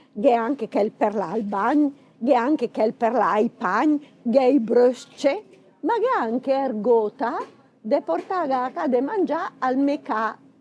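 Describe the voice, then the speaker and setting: A woman with a high-pitched voice speaks very slowly over noticeable background noise. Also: lively intonation. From Bergamo, northern Italy. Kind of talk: humorous casual talk to camera.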